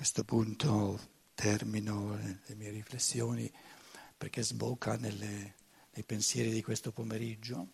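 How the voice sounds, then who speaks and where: Speaking very slowly with long, frequent pauses, a man with a German accent uses a fairly low pitch, monotone, flat intonation and vocal fry. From Germany. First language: German (speaking Italian). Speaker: lecturer. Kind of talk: lecture. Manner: halting, frequent repetitions.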